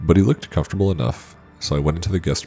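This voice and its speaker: Speaking very fast, a man is heard over music playing in the background. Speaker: horror story narrator. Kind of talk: horror story narration.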